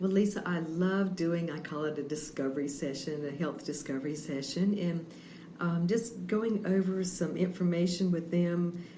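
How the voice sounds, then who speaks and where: Against noticeable background noise and audible room echo, a woman with a fairly low pitch speaks at a moderate pace with ordinary pitch variation. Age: 60s. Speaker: health coach. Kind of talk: radio interview. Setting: on location at a bakery.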